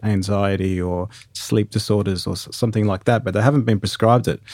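Talking at a fairly quick pace, a man with a fairly low pitch and a dark, mellow tone keeps his intonation fairly even. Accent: Australian. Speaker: podcast host. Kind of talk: casual interview. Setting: remote recording.

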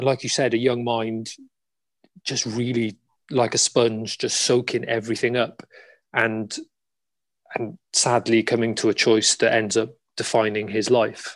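Against a quiet background, a man with a South Wales accent speaks fairly slowly in a monotone, flat delivery, with long, frequent pauses. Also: medium pitch for a man. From Cardiff, Wales. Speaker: actor. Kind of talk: interview panel. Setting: video call.

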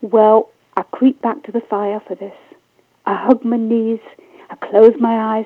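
A natural voice reading aloud, the background quiet.

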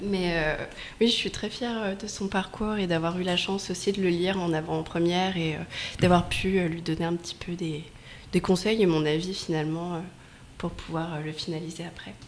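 This woman has an unremarkable speaking voice pitched fairly low. She keeps a moderate pace and fairly even intonation. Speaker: author's friend and event organizer. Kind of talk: radio interview.

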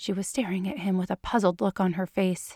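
A woman speaks with vocal fry in a dry, close sound with no echo. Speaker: audiobook narrator. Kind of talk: literary audiobook reading of fan fiction, narration with character dialogue. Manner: measured, expressive storytelling pace.

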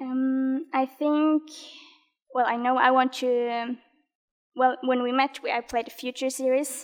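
A woman talks at a high pitch and a fairly slow pace. Her intonation stays monotone and flat, broken by long, frequent pauses. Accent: Norwegian. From Norway. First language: Norwegian. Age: 20s. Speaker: badminton player. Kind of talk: interview. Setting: studio.

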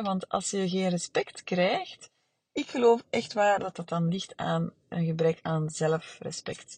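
The voice is somewhat breathy and shows ordinary pitch variation at a very slow pace. The sound is dry and close, with no echo. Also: woman. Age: 40s. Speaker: therapist. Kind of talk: solo podcast monologue. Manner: halting, many fillers.

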